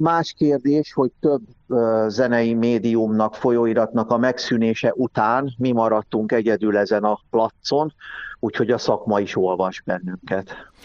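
A normal speaking voice from a man at medium pitch, fairly slow pace, ordinary pitch variation and very even loudness, in a dry, close sound with no echo against a quiet background. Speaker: music historian and magazine editor. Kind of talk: interview.

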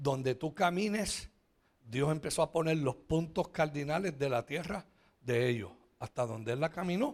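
A man speaks at a fairly slow pace in an animated tone with ordinary pitch variation. The recording is very clean, with a silent background. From Puerto Rico. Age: 60s. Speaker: pastor. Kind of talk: sermon. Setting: church.

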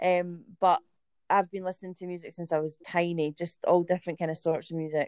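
Her fairly low-pitched voice moves at a fairly quick pace, and the woman keeps a monotone, flat intonation. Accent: strong Scottish. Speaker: band singer. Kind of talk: casual interview chat.

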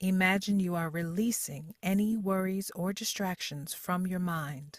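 A woman speaks in a soothing, calm tone at a fairly slow pace, her medium-pitched voice somewhat breathy with ordinary pitch variation. The recording is very clean, with a silent background. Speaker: voice-over artist practicing. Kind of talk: guided meditation read aloud as voice-over practice. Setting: practice recording. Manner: slow, soothing, calm and gently paced with long pauses; soft-spoken, warm and reassuring.

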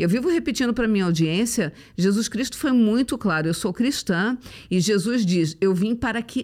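An ordinary speaking voice with lively intonation goes at a moderate pace on a very clean recording with a silent background. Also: woman. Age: 50s. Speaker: motivational speaker. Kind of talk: casual chat.

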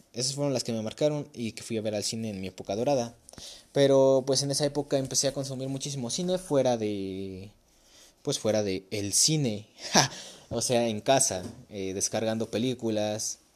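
A man talks at a moderate pace. His pitch sits in the medium range with ordinary variation. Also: very clean recording, silent background. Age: young. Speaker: podcast host. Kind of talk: casual chat. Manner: casual, conversational.

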